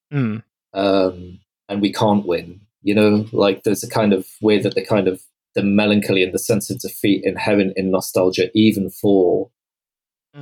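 A man with a British accent talks at a moderate pace, his fairly low voice carrying fairly even intonation. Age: 40s. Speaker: writer and historian. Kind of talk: casual chat.

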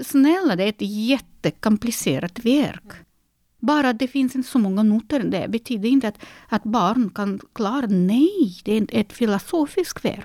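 A woman speaks at a fairly high pitch and moderate pace, her tone dark and mellow. The sound is dry and close, with no echo. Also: lively intonation. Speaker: concert pianist and piano teacher. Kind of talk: interview. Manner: halting, frequent repetitions.

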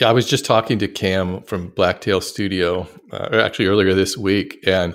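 In an unremarkable speaking voice, a man talks at a fairly low pitch with ordinary pitch variation on a very clean recording with a silent background. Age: 50s. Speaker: woodworking YouTuber. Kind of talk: casual chat.

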